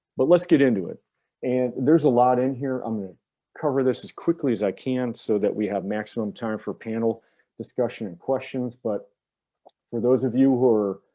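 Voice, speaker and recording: In an American accent, a man talks in a normal speaking voice at medium pitch and a moderate pace. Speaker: public finance attorney. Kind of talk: presentation briefing.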